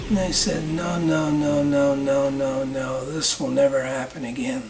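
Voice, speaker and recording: Music plays in the background as a man with an American accent speaks fairly slowly, his fairly high pitch held in a fairly even intonation. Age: 80s+. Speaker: war veteran, former fighter pilot. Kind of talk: interview answer, personal recollection.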